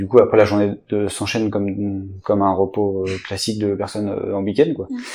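Fairly low-pitched male speech, monotone and flat, at a fairly quick pace amid noticeable background noise. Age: 30s. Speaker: archer. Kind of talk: interview. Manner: halting.

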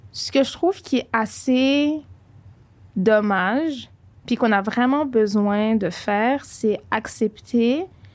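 Very slowly and with long, frequent pauses, a woman speaks with ordinary pitch variation. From Montreal, Quebec. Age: 20s. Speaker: podcast co-host. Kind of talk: casual chat.

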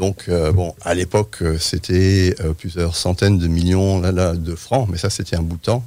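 A man with a very deep, low, dark, mellow voice speaks at a fairly slow pace with fairly even intonation. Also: hardly any pauses. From France. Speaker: urban planning professor. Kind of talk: radio interview.

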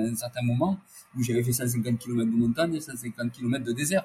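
At a moderate pace, a man speaks with medium pitch, ordinary pitch variation, a somewhat breathy quality and a dark, mellow tone. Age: 50s. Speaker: ultra-endurance athlete. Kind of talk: interview.

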